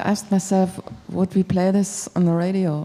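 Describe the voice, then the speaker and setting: Medium-pitched woman's voice in a German accent, monotone and flat, over noticeable background noise. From Germany. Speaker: radio music programmer. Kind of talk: panel feedback discussion. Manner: halting.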